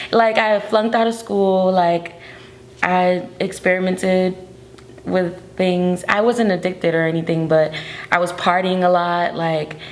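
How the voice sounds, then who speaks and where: At a fairly slow pace, a woman speaks with medium pitch and fairly even intonation against noticeable background noise. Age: 20s. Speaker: artist. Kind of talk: interview. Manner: casual, filler-heavy.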